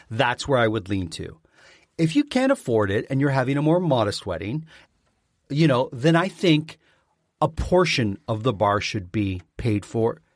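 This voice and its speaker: Heard in a very clean recording with a silent background and a dry, close sound with no echo, a man with a Canadian accent speaks at a moderate pace and medium pitch, his pitch swinging very widely. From Southern Ontario, Canada. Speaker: podcast co-host, former front-of-house server. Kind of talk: casual chat.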